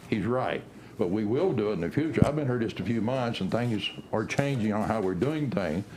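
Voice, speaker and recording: A man with an American accent speaks at a fairly quick pace, with audible room echo and noticeable background noise. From Bourbon County, Kansas, US. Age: 60s. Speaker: county commissioner. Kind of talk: public meeting debate.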